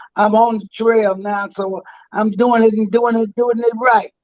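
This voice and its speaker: In an American accent, a man with a high pitch talks at a fairly slow pace with fairly even intonation. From US Midwest, St. Louis, Missouri. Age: 80s+. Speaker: veteran singer and entertainer. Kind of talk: interview.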